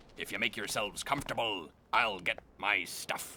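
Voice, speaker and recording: A man performs a cartoonish character voice at a fairly low pitch. He keeps a moderate pace. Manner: hearty, theatrical, salty.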